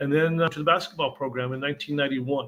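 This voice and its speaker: Very fast and in monotone, flat intonation, a man talks in a bright, sharp tone at a fairly high pitch. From northern New Mexico (Santa Fe). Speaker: sports journalist. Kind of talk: casual interview.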